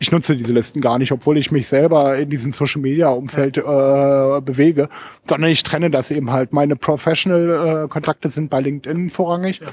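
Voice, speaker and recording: This man speaks at a fairly quick pace with a fairly high pitch. It is an ordinary speaking voice. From Lower Saxony, Germany (Hameln). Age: 40s. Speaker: social media consultant and blogger. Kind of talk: casual interview. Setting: studio in Berlin.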